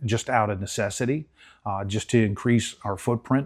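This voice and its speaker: The voice moves at a moderate pace with ordinary pitch variation in a very clean recording with a silent background. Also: man. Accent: Central Pennsylvania. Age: 60s. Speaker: race parts business owner. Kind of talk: guided shop tour interview. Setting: on location in a warehouse.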